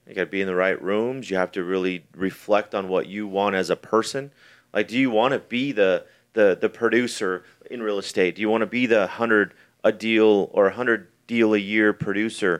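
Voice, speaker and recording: Against a quiet background, a man with an unremarkable speaking voice talks at a moderate pace and a fairly low pitch, his intonation fairly even. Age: 40s. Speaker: real estate investor and podcast host. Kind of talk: casual chat. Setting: studio.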